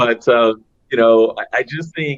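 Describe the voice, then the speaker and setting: A man in a plain, everyday voice with an American accent, medium in pitch and moderate in pace. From Los Angeles, California. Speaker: business executive. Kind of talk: panel discussion. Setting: virtual conference.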